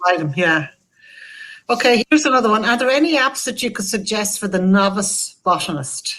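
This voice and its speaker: A woman with a Wexford Irish accent, fairly high-pitched, her intonation lively, at a moderate pace. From Ireland, Wexford. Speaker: event host reading audience questions. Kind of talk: online talk Q&A.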